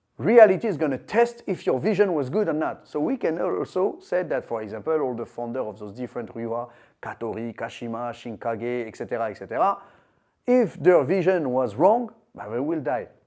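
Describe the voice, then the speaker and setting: A man with a French accent talks at a fairly quick pace in a dark, mellow tone, pitched fairly high. His pitch swings very widely and his loudness swings a lot. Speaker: martial arts teacher. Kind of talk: lecture. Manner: halting.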